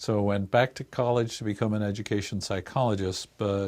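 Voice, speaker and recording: With an Irish accent, a man speaks at a fairly quick pace and a fairly low pitch with fairly even intonation, on a very clean recording with a silent background. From Ireland, Dublin. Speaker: research institute director, psychologist. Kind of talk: interview.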